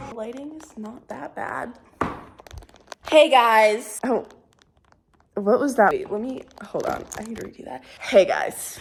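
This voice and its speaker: An animated woman's fairly high voice with lively intonation and big swings in loudness, fairly slow with long, frequent pauses, in audible room echo. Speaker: college dance student and vlogger. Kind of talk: casual vlog.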